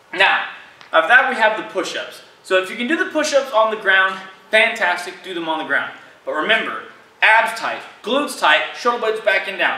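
A man's raised, projected voice at a fairly quick pace, with audible room echo. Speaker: fitness coach. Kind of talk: tutorial. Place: gym.

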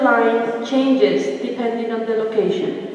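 A woman speaks in a space with strong room echo. Light background noise is present. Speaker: visual artist and art teacher. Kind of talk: artist lecture. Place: hall. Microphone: camera far.

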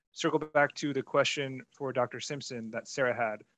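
A normal speaking voice carries the words at a moderate pace. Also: man. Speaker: webinar moderator. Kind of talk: webinar moderation. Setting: video call.

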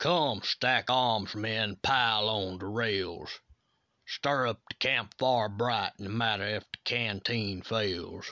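Using a fairly low pitch with ordinary pitch variation, a man speaks at a very slow pace. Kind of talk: poem performed, dramatic voiceover reading of a Civil War ballad. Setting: voiceover demo recording. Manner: formal, declamatory, rhythmic delivery.

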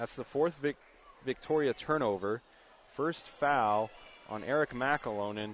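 Light background noise sits under a man's animated, energetic delivery, recorded dry with no echo. He keeps ordinary pitch variation at a fairly slow pace, with long, frequent pauses. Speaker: radio play-by-play announcer. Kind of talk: live sports commentary. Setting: high school gym, radio broadcast. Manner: animated, energetic, occasionally stumbling over names. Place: stadium.

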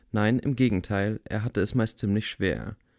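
A man with an unremarkable speaking voice talks at a fairly slow pace, medium in pitch with ordinary pitch variation. The recording is very clean, with a silent background. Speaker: audiobook reader. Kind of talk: rhythmic rhymed children's story reading, sing-song verse. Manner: bedtime-story tone, warm and gently theatrical.

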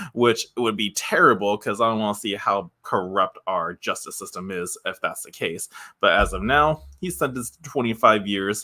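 A man speaks at a moderate pace with hardly any pauses and big swings in loudness, the background quiet. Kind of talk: commentary and article read-out. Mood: disapproving, sighing. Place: home room. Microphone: studio mic.

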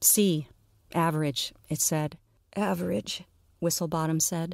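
A woman speaks at a fairly slow pace in a fairly low voice. The recording is very clean, with a silent background and a dry, close sound free of echo. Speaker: audio fiction narrator and podcast host. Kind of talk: literary audiobook reading of a dark comic fantasy story, narrated with character voices.

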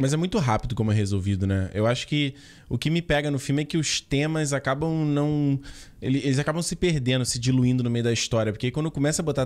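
His pitch shows ordinary variation. The man speaks at a very fast pace. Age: 30s. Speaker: film podcast co-host. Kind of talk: casual chat. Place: home room. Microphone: studio mic.

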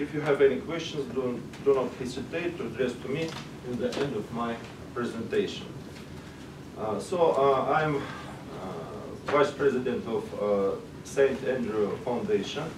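Pausing long and often at a fairly slow pace, a man with a Russian accent speaks over noticeable background noise. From Russia, Moscow. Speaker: sociologist, conference speaker. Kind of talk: conference presentation. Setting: stage with audience. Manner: halting. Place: meeting room. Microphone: camera far.

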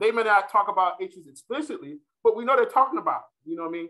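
A raised, projected voice in an American accent, bright, sharp tone and lively intonation over a quiet background. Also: man. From US South, North Carolina. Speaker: political science professor. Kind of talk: lecture; Q&A discussion. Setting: stage with audience. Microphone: webcam.

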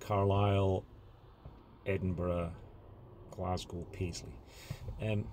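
Somewhat breathy speech at a fairly slow pace with fairly even intonation comes through over light background noise. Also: man. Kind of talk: casual vlog chat. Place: car. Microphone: phone near.

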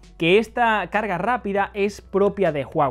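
High-pitched man's voice with lively intonation over faint music in the background. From Spain. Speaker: tech video reviewer. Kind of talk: product review. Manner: casual, conversational. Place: home room. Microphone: lapel.

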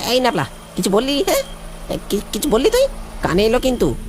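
A cartoonish character voice, fairly high in pitch, moves at a fairly quick pace over clear background noise.

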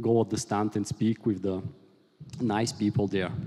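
Against a quiet background, a man with a Bulgarian accent talks at a moderate pace in a dark, mellow tone with fairly even intonation. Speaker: software engineer, conference speaker. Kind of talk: technical conference talk. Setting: conference stage with audience. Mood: light, joking. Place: hall. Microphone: headset.

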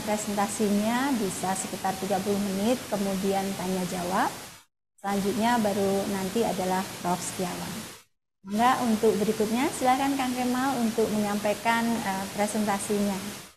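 The speech moves at a moderate pace with fairly even intonation. Noticeable background noise can be heard. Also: woman. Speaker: moderator and dean. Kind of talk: event moderation. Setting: video call. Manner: formal. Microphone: webcam.

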